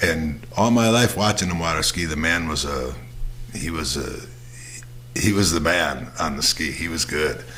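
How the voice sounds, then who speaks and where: Lively intonation marks this man's very deep, low voice at a moderate pace. Audible room echo and noticeable background noise are present. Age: 60s. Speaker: podcast host. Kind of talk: casual monologue. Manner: halting, many fillers and repeats.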